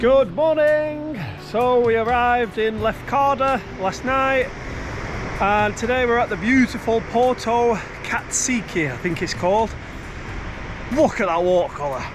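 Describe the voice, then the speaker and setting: Noticeable background noise sits behind a speaker with a British accent. The delivery is fairly slow, with long, frequent pauses. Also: man, extremely high pitch for a man, ordinary pitch variation. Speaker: travel vlogger. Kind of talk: travel vlog narration. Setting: outdoors. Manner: loud.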